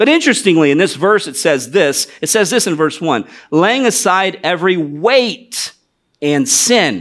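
A man with a high voice and an American accent talks at a fairly slow pace. His pitch swings very widely. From US Midwest, northwest Ohio. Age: 40s. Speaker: missionary. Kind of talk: sermon. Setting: church.

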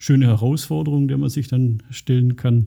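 A man at medium pitch, somewhat breathy, with fairly even intonation and a fairly quick pace. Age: 50s. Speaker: IT director and computer science professor. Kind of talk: interview. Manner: hesitant with fillers.

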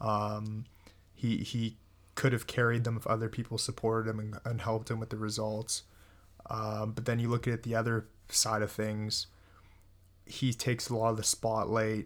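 A man talks at a moderate pace and medium pitch in a monotone, flat intonation. The recording is very clean, with a silent background. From Germany. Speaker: football podcast host. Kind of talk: casual chat. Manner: halting.

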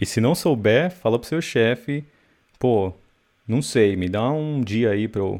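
A man at a medium pitch, lively intonation, and long, frequent pauses. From Brazil. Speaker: software developer and online course creator. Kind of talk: casual interview chat.

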